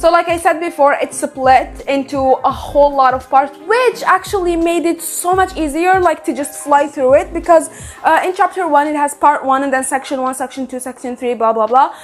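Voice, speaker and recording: Over music in the background, a woman with a non-native accent talks at a high pitch in an animated tone at a moderate pace. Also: ordinary pitch variation. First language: not English. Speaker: book vlogger. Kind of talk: casual book review vlog.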